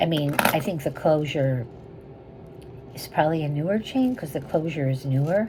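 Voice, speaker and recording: A woman's very deep, low voice with lively intonation, long, frequent pauses and noticeable background noise. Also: moderate pace. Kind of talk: sales pitch. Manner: whispering, soft.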